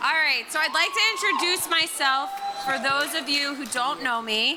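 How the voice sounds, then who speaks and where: Using a raised, projected voice with an American accent, the speaker keeps a moderate pace and ordinary pitch variation amid noticeable background noise and audible room echo. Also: woman, high pitch for a woman. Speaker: maid of honor. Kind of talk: wedding toast. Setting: wedding reception with microphone. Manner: loud.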